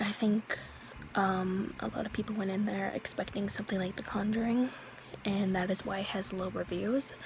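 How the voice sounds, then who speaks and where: A woman's monotone, flat intonation over music in the background. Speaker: youtuber, movie reviewer. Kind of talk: casual movie review vlog. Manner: hesitant, many fillers.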